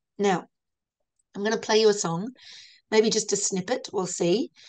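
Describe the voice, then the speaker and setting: Over a quiet background, a woman speaks at a medium pitch in an Australian accent. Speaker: lecturer. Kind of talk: lecture. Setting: video call. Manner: halting.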